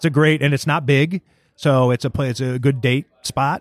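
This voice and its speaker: A man with an American accent talks in an unremarkable speaking voice at a moderate pace. His intonation is fairly even, and the sound is dry and close with no echo. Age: 40s. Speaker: sports writer and radio host. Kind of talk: casual interview chat. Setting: restaurant, recorded in person.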